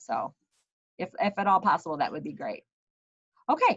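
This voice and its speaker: A woman speaks at a medium pitch. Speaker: school principal. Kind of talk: video call welcome meeting. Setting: video call.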